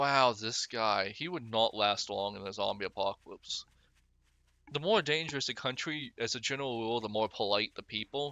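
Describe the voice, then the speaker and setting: With ordinary pitch variation, a man speaks at a medium pitch. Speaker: gaming youtuber. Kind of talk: gameplay commentary. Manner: fast; casual, rambling with fillers.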